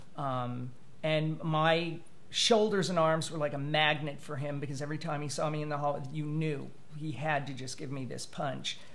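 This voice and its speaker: Amid audible room echo and noticeable background noise, a man speaks at a fairly high pitch and moderate pace with fairly even intonation. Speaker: writer sharing personal story. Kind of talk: interview testimony. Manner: halting, many fillers.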